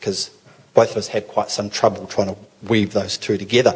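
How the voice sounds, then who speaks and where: A man with a New Zealand accent talks at a fairly quick pace and medium pitch over noticeable background noise. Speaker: pastor. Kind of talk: talk to a church gathering. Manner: hesitant, many fillers.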